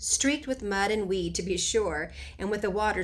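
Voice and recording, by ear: Reading aloud, the speaker uses a natural voice. Pitch rises and falls normally.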